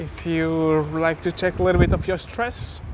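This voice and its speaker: Over noticeable background noise, a man talks in a high pitch, the sound dry with no echo. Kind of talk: casual vlog commentary. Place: bicycle. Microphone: phone near.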